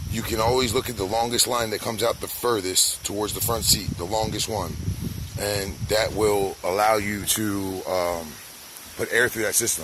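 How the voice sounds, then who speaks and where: Noticeable background noise runs beneath a man's voice. His pitch is fairly low, his intonation fairly even and his pace moderate. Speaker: DIY car owner / YouTuber. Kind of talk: DIY tutorial video. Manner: casual, halting with fillers.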